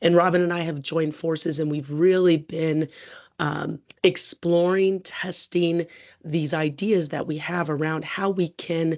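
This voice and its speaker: A woman with an American accent talks at a fairly slow pace and a fairly low pitch, her intonation monotone and flat. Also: quiet background. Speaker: research scientist. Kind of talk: presentation. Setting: video call.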